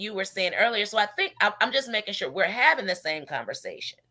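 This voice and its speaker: A woman speaks loudly at a fairly high pitch in a bright, sharp tone. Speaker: radio show host. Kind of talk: casual chat.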